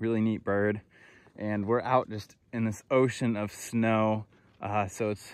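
Dry, with no echo, a man's fairly low voice moves at a fairly slow pace in a monotone, flat intonation. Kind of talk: casual vlog chat. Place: open country. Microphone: phone near.

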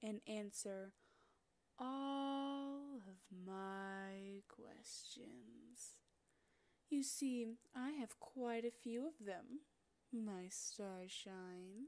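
A woman's put-on character voice, fairly high, at a very slow pace with long, frequent pauses. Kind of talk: roleplay audio, yandere villain. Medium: audio drama. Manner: teasing, sweetly menacing, possessive.

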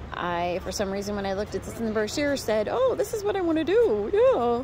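The recording is dry with no echo, though noticeable background noise comes through. A woman with a high pitch speaks at a moderate pace. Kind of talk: casual vlog chat. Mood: nervous, anxious laughing. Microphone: phone near.

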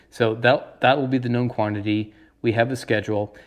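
Fairly even intonation runs through what the man says. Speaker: radio hobby channel host. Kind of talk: tutorial. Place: home room. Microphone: lapel.

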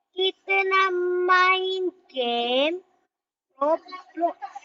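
A woman is speaking. Her pace is very slow. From Malaysia. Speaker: gaming video creator. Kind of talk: casual gameplay commentary. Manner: halting, many fillers.

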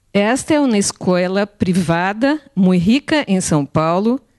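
A dark, mellow tone carries very wide pitch swings at a very slow pace. The background is quiet. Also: woman. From Brazil. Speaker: art educator. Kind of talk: conference talk. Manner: halting. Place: hall. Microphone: handheld.

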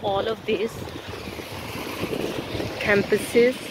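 A woman speaks slowly in a slightly mellow tone with little pitch movement. Faint background noise is present.

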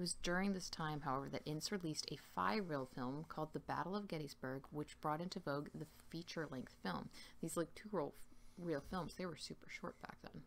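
Vocal fry runs through this fairly quick delivery, with ordinary pitch variation over light background noise. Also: woman, very deep, low pitch for a woman. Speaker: ASMR true-crime host. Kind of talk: ASMR true crime narration. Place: home room. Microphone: webcam.

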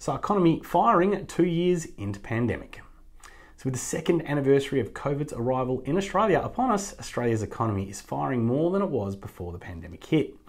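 Over a quiet background, a man talks at a fairly quick pace with vocal fry. His pitch makes very wide swings. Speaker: news presenter. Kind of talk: news roundup commentary. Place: office. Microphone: lapel.

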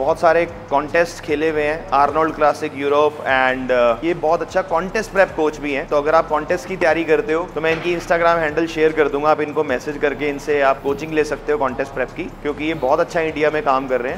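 A man at a moderate pace with fairly even intonation and hardly any pauses, over light background noise. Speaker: gym channel host. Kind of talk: casual vlog chat. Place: gym. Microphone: lapel.

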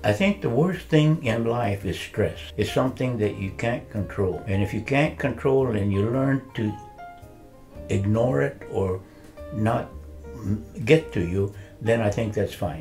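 A man speaks with an American accent at a fairly low pitch and a fairly slow pace. His intonation is lively, with faint music in the background. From US West. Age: 80s+. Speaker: retired architect; interviewee. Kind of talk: interview. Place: home room. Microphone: lapel.

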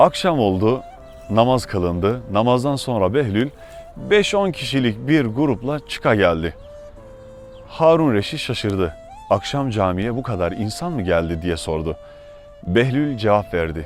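A man talks at a fairly slow pace and a medium pitch, with very wide pitch swings. Music sounds in the background. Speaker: theologian, preacher. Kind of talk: religious sermon.

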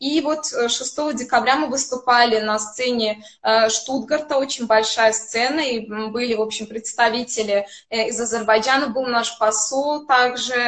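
The speech moves at a fairly slow pace with fairly even intonation. The background is quiet. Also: woman. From Azerbaijan. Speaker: classical violinist. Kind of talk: interview. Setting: video call. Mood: calm, friendly storytelling. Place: home room. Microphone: video call.

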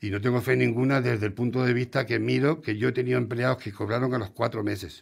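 Against a quiet background, a man speaks at a very fast pace with hardly any pauses. His intonation is fairly even, with vocal fry. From Spain. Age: 60s. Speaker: restaurant owner; radio guest. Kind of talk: interview. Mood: frustrated, complaining. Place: studio. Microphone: studio mic.

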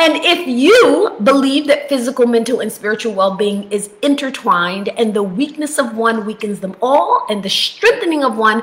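A woman speaks in a raised, projected voice, her pitch swinging very widely. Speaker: health coach. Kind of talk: casual vlog chat. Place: home room. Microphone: webcam.

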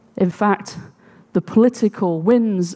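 A woman speaks with a dark, mellow tone. Behind her the background is quiet. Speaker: conference speaker. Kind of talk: talk to audience. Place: stage. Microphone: headset.

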